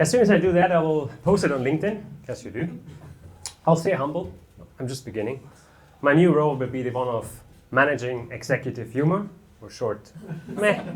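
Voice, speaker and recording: With long, frequent pauses, a man talks at a fairly quick pace in a fairly high, somewhat breathy voice, his loudness swinging widely and his intonation lively against audible room echo. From Germany. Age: 30s. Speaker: amateur stand-up comedian. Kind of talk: stand-up. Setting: stage with audience.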